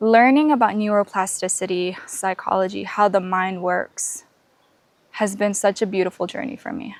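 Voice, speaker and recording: A woman's medium-pitched voice at a moderate pace, with ordinary pitch variation and big swings in loudness. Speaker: podcast host. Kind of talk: casual vlog monologue. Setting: outdoors on a canopy walk.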